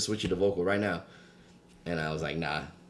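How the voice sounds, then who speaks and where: Very fast man with a very deep, low pitch and fairly even intonation, in a New York accent, with audible room echo. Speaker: podcast co-host. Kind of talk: casual chat.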